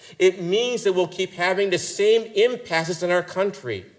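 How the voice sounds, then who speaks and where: Speaking with an American accent, a man has a high voice. His pitch varies in an ordinary way. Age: 60s. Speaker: priest and theologian giving keynote. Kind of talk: keynote lecture.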